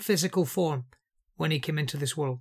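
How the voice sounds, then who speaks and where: On a very clean recording with a silent background, a man with a Scouse accent speaks with lively intonation. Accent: Scouse (Liverpool English). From Liverpool, England. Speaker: Bible teacher. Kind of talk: Bible teaching talk.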